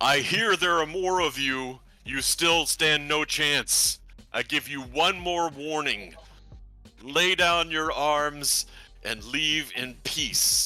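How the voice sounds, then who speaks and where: Over faint background music, a man bellows loudly in a put-on character voice, fairly high for a man and very slow. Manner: threatening.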